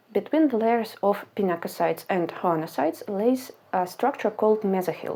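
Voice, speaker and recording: On a very clean recording with a silent background, a woman with a non-native accent speaks at a moderate pace in a dark, mellow tone. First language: not English. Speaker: science educator. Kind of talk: educational explainer.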